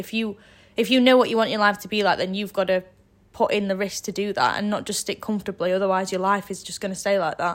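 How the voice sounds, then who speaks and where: In a very clean recording with a silent background, a woman with a Yorkshire accent talks at a very fast pace with fairly even intonation. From northern England, Sheffield area. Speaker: university student. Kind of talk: casual interview.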